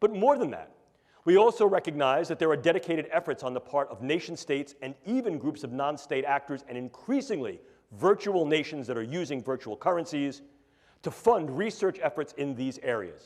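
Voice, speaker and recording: With lively intonation, a man with a New York accent speaks at a fairly high pitch. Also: fairly quick pace, big swings in loudness. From New York City. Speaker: neuroscience professor. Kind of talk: lecture. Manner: animated.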